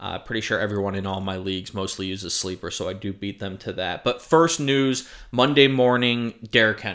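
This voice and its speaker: A man with an American accent speaks at a fairly quick pace with hardly any pauses, his pitch fairly low and varying in an ordinary way. The recording is very clean, with a silent background. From South Florida. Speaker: sports and gambling podcast co-host. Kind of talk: casual chat. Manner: animated.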